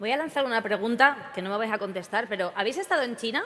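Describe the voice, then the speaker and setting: A woman talks at a very fast pace with a high pitch and lively intonation. Noticeable background noise runs underneath. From Spain. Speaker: event presenter. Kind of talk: comic stage introduction. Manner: animated.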